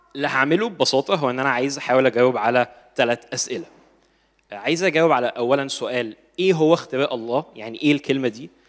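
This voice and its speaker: A man's medium-pitched voice carries ordinary pitch variation as he talks at a fairly quick pace. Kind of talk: lecture.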